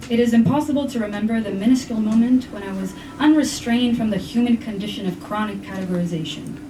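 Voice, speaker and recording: A woman's fairly high voice with ordinary pitch variation, amid noticeable background noise and audible room echo. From Brazil. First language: Portuguese and Spanish. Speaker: poet. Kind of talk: poetry reading.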